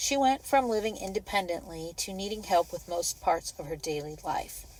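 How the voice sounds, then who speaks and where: Using lively intonation, a woman speaks at a medium pitch in an unremarkable speaking voice. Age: 60s. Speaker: caregiver vlogger. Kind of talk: personal vlog monologue.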